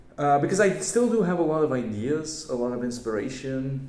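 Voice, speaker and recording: Audible room echo surrounds a man's voice. He talks at a fairly slow pace with lively intonation. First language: not English. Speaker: YouTuber. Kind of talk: casual channel update vlog. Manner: hesitant, many fillers.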